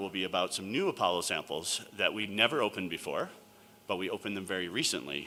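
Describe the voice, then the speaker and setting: With ordinary pitch variation and a fairly low pitch, the man talks at a very fast pace. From New York. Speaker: planetary scientist and sample curator. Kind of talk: conference talk.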